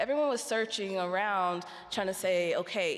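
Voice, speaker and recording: A woman with an American accent speaks at a moderate pace with lively intonation. Audible room echo surrounds her voice. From United States. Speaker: researcher on health inequalities. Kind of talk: conference talk.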